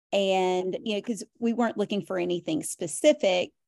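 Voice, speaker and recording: The recording is very clean with a silent background. A woman speaks at a moderate pace in a medium pitch with a dark, mellow tone. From US South, Tennessee (Nashville). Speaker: reseller, former school teacher. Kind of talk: casual chat.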